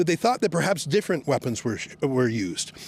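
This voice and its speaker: A man's pitch swings very widely while noticeable noise carries on in the background. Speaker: reporter. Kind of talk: on-location reporting, confronting police. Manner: loud, projecting; sarcastic, animated.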